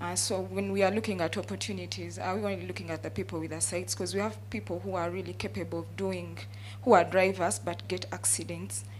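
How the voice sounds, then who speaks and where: A woman's fairly brisk speech carries audible room echo and noticeable background noise. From Uganda. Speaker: trade unionist and taxi driver. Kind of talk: audience question at conference panel.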